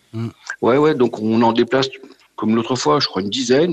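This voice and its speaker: A man with an unremarkable speaking voice talks at a medium pitch and a moderate pace, with ordinary pitch variation. The sound is dry and close with no echo. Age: 50s. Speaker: auto shop employee, car enthusiast. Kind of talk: phone interview. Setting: phone call.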